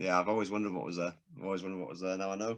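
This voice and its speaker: Over a quiet background, a man with a Manchester accent speaks at a very deep, low pitch in a bright, sharp tone, his intonation fairly even. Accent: Manchester accent, noticeable. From northern England, Stockport, Greater Manchester. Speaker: podcast host. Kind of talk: casual chat. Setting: studio.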